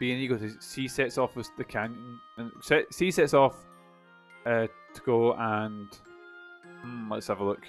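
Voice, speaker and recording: Against music in the background, a man with a Scottish accent talks at a fairly slow pace with long, frequent pauses and ordinary pitch variation. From Scotland. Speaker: game streamer. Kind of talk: thinking aloud while solving a puzzle.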